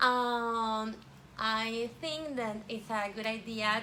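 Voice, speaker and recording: Ordinary pitch variation with a Spanish accent, plus audible room echo and noticeable background noise. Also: woman. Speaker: vlogger. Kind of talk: casual vlog chat. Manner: halting, many fillers.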